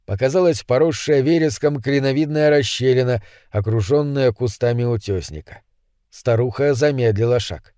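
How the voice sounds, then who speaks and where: A man with a dark, mellow tone and medium pitch speaks at a moderate pace in a very clean recording with a silent background. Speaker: audiobook narrator. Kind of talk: audiobook reading of horror story.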